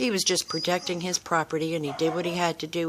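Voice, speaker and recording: At a fairly quick pace, a woman talks in an ordinary speaking voice with a fairly low pitch. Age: 60s. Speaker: dog owner. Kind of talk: casual chat. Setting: outdoors.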